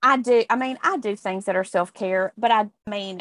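Against a quiet background, a woman talks in a normal speaking voice at a fairly high pitch and moderate pace with ordinary pitch variation, the sound dry and close with no echo. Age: 50s. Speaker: podcast co-host. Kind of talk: casual chat.

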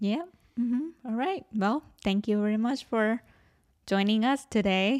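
A woman at a fairly slow pace: an ordinary speaking voice, fairly high pitch, ordinary pitch variation, and very even loudness. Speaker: musician, podcast host. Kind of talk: casual chat. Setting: video call.

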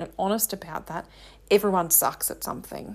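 In an Australian accent, a woman speaks at a medium pitch and moderate pace with monotone, flat intonation. The recording is very clean and the background silent. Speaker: confidence coach and podcast host. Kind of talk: solo monologue.

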